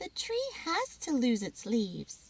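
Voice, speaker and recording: A put-on character voice, female-sounding and high-pitched for a woman, at a fairly slow pace. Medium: read story. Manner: warm, patient.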